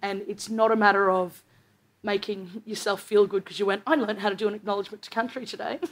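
A woman with an Australian accent at a very fast pace, her intonation fairly even and her loudness swinging widely. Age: 20s. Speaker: stand-up comedian. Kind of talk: stand-up. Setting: stage with audience. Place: stage.

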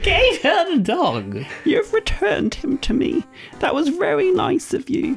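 A put-on character voice speaks at a high pitch and a fairly slow pace. Clear music plays in the background.

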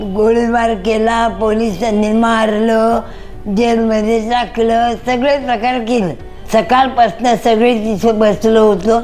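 Music plays behind a woman with a fairly high pitch. Her delivery is monotone and flat, with very even loudness. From Mumbai, India. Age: 80s+. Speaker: former Ram temple movement volunteer. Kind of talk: interview answer, recalling memories.

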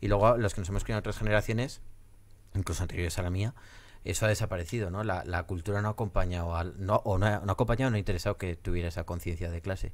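Talking at a very fast pace, a man uses a fairly low pitch and fairly even intonation. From Spain, Zaragoza; Spain. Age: 30s. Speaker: podcast host. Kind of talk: interview. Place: studio. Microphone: studio mic.

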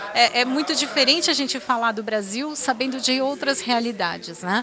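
A woman with ordinary pitch variation over light background noise. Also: dry sound with no echo. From Campinas, Brazil; Brazil. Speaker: city first lady; interviewee. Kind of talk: interview. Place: office. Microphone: handheld.

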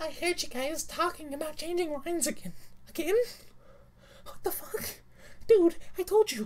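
Putting on a character voice with extremely high pitch, a man talks at a moderate pace, leaving long, frequent pauses. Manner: furious, swearing.

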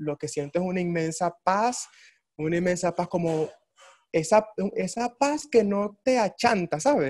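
This man's voice sits high in pitch, moving at a moderate pace with lively intonation. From Venezuela, Ciudad Bolívar; Venezuela. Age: 20s. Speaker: orchestra violist; interviewee. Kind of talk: interview. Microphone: video call.

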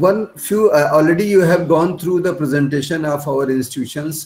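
At a moderate pace, a man speaks with a fairly high, somewhat breathy voice and fairly even intonation. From India. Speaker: institute principal. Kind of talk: formal vote of thanks. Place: office. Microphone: webcam.

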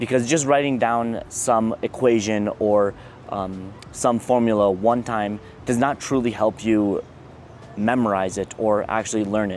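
At a fairly slow pace, a man speaks with fairly even intonation in a dry recording with no echo and light background noise. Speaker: engineering student vlogger. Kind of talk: casual advice vlog. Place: garden. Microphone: lapel.

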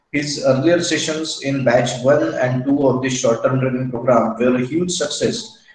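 The man talks at a moderate pace with ordinary pitch variation. Audible room echo surrounds his voice. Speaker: session host introducing speaker. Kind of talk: formal introduction. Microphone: video call.

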